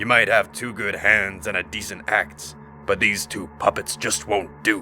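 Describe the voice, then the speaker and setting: A put-on character voice at a moderate pace, with clear background noise. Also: man, fairly low pitch for a man. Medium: read story. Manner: cryptic, menacing.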